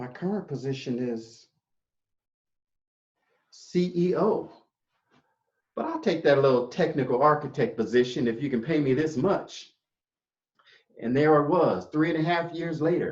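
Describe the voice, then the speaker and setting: A man with a fairly high pitch sounds somewhat breathy, with ordinary pitch variation. He takes long, frequent pauses. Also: moderate pace. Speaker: public speaker. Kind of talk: inspirational storytelling speech.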